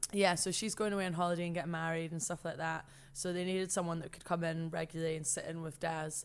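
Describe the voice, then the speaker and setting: A woman talks at a very fast pace with a Scottish accent. Her pitch is fairly low. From Scotland, rural Perthshire. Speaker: TV presenter. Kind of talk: casual chat. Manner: animated.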